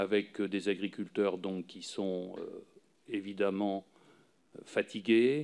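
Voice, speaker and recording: A man talks at a very slow pace with long, frequent pauses. His pitch is fairly low and his intonation fairly even. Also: big swings in loudness. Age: 60s. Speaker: retired farmer and farm union leader. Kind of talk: parliamentary hearing testimony. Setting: parliamentary committee room. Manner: halting, many filler sounds.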